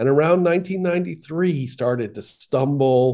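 A man with an American accent talks at a moderate pace. His tone is dark and mellow, with ordinary pitch variation. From Boston. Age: 60s. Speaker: writer and producer. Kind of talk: interview.

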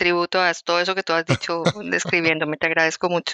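A woman speaks in a fairly low, monotone, flat voice. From Colombia, Bogotá. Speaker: activist. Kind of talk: interview. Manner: halting.

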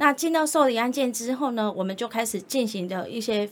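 A woman with a plain, everyday voice and a fairly high pitch talks at a fairly quick pace with ordinary pitch variation. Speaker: social worker, director of a rehabilitation center for the visually impaired. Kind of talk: interview.

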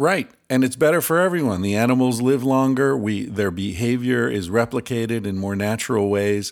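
With an ordinary speaking voice, a man talks at a medium pitch with ordinary pitch variation and hardly any pauses. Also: moderate pace, very clean recording, silent background. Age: 50s. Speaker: author and researcher. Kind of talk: casual interview.

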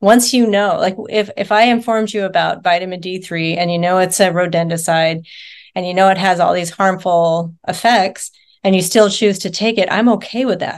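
Against a quiet background, a woman with an American accent speaks at a moderate pace in a plain, everyday voice, her pitch medium and her intonation fairly even. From rural Nevada, US. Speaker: nurse and wellness coach. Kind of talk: interview.

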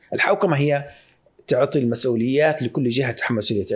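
The backdrop is quiet as a man talks, his pitch moving a normal amount. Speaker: investment firm founder. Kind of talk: casual interview. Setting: studio. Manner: mixes English phrases into Arabic.

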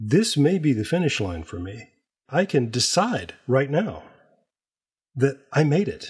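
A man with a fairly high, vocal-fry voice speaks fairly slowly, his pitch swinging very widely. Long, frequent pauses fill a very clean recording with a silent background. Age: 60s. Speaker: podcast creator and writer. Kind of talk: casual chat. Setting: on the road.

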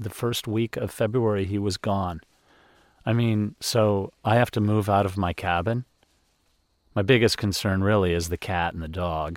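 A man with an unremarkable speaking voice, fairly low pitch, ordinary pitch variation and a moderate pace. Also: very clean recording, silent background. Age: 50s. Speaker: podcast host. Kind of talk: personal reflection monologue. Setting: outdoors on a deck.

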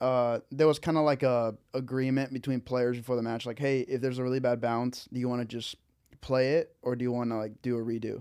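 This man talks at a fairly quick pace with a medium pitch. His intonation is monotone and flat. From Peru. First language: Spanish. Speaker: pickleball player and podcast guest. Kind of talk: casual banter. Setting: studio.

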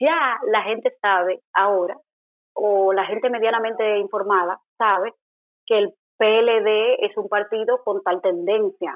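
Speaking at a very slow pace, a woman keeps a fairly high pitch and fairly even intonation. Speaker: political scientist and journalist. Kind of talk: interview.

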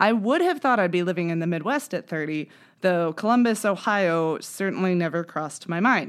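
A woman speaks at a medium pitch in an unremarkable speaking voice, her intonation lively. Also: very clean recording, silent background. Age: 30s. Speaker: podcast host. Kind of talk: scripted narration.

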